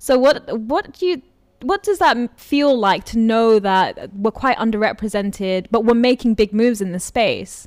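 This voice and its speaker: A woman with a London accent speaks at a fairly high pitch and moderate pace on a very clean recording with a silent background. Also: ordinary pitch variation. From London, England. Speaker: podcast host. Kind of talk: casual interview.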